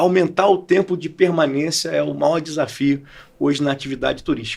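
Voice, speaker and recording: With a Rio de Janeiro accent, a man speaks at a moderate pace. His pitch varies in an ordinary way. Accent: carioca. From Brazil, Rio de Janeiro. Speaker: entrepreneur and professor. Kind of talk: podcast interview.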